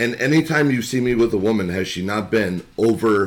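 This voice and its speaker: Noticeable background noise sits under a man's fairly low voice. He talks at a moderate pace with lively intonation. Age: 30s. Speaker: podcast guest. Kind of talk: casual chat.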